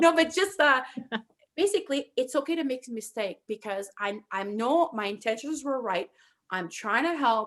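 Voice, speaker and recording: With a strong French accent, the speaker's pitch swings very widely. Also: woman, high pitch for a woman, moderate pace. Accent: thick French. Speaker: internet show host. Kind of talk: casual chat.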